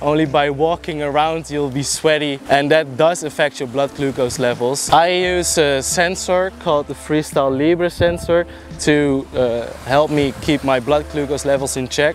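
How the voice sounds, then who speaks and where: Speaking with a Dutch accent, a man uses a fairly high pitch, fairly even intonation and a fairly slow pace over noticeable background noise. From Netherlands. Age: 20s. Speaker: martial arts trainee sharing experience. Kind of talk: informal explainer vlog. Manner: halting, with fillers.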